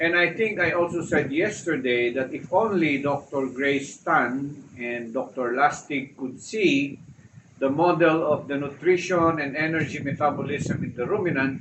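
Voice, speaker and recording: A man with a fairly high voice shows ordinary pitch variation and keeps a moderate pace. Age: 60s. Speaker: retired vlogger on low-carb diet. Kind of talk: casual vlog monologue. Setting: house terrace, outdoors under cover. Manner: halting, frequent uh fillers.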